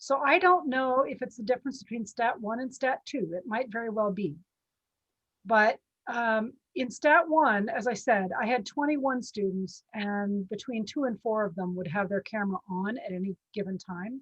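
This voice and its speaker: Lively intonation and a moderate pace come through in a somewhat breathy voice. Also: woman, fairly high pitch for a woman. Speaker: statistics professor. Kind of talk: video call discussion.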